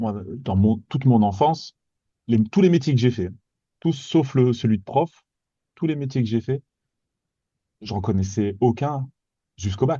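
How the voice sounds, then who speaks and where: A somewhat breathy man's voice at medium pitch, with long, frequent pauses. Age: 40s. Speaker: guest on careers podcast, former medical machine operator. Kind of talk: casual interview chat. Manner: halting, many repetitions and hesitations.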